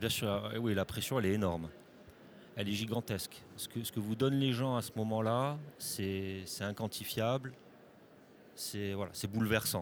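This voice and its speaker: Pausing long and often, a man talks at a fairly slow pace in a fairly low pitch with fairly even intonation. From Corsica. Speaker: film director and actor. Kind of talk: interview. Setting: festival studio. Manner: halting, many repeated words.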